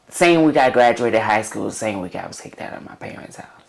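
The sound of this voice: With audible room echo around it, the voice carries vocal fry and lively intonation at a fairly quick pace.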